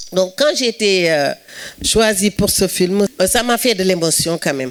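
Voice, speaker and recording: A woman with a Senegalese accent speaks at a medium pitch with lively intonation. Noticeable background noise runs behind her. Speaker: actress. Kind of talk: speech at film event. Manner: halting.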